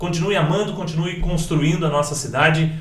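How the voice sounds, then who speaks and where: High for a man, a voice at moderate speed amid audible room echo and noticeable background noise. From Itapetininga, São Paulo state, Brazil. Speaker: podcast host. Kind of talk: casual interview chat.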